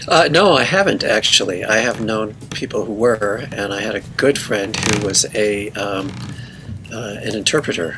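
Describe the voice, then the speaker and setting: Noticeable background noise surrounds a man whose fairly low voice moves with ordinary pitch variation. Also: moderate pace. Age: 60s. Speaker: musician. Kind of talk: interview. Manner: halting.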